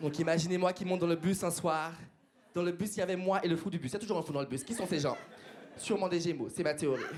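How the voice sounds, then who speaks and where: Amid noticeable background noise and audible room echo, a man talks at a very fast pace in an animated tone and a high pitch. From Martinique. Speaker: stand-up comedian. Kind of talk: stand-up. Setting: stage with audience.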